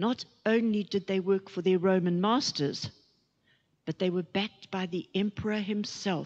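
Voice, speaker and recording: A woman talks fairly slowly, and the background is quiet. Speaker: preacher. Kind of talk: sermon. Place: church. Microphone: handheld.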